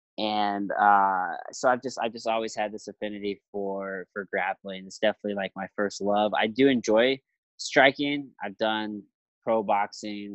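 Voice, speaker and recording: Someone with an American accent speaks in an ordinary speaking voice at a moderate pace, intonation fairly even and loudness swinging widely. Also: man, fairly low pitch for a man. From Jefferson City, Missouri. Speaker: professional MMA fighter and podcaster. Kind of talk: interview. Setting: remote call.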